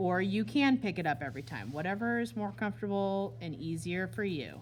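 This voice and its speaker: Music plays in the background and there is audible room echo. A woman talks at a fairly quick pace with a fairly low pitch and very wide pitch swings. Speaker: art teacher. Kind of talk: classroom demonstration tutorial. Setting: classroom with students.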